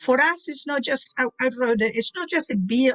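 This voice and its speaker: Speech comes at a moderate pace. It is delivered with a Spanish accent. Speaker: community advocate. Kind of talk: panel discussion.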